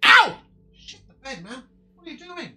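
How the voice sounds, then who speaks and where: A put-on character voice pitched high. It moves at a moderate pace. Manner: yelling.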